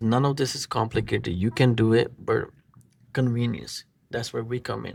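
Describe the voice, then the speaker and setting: Someone with a non-native accent speaks at a moderate pace on a very clean recording with a silent background. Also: man. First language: not English. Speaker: marketing agency owner. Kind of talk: tutorial; sales pitch. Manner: casual, halting.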